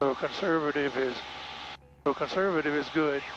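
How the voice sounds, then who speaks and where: A man with an American accent speaks at a fairly high pitch. His intonation stays monotone and flat over noticeable background noise. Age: 60s. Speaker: private pilot. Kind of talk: casual flight narration. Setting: in small airplane cockpit. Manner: halting.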